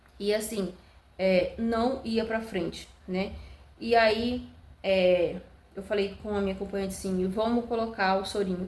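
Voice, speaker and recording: A woman speaks at a fairly slow pace and a medium pitch. Her intonation is monotone and flat. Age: 20s. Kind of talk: casual talk to camera, birth story.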